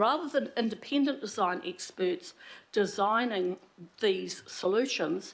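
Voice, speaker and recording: A woman with a New Zealand accent, fairly high pitch, fairly slow pace and lively intonation. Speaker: public speaker at council meeting. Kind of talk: public submission. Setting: council meeting.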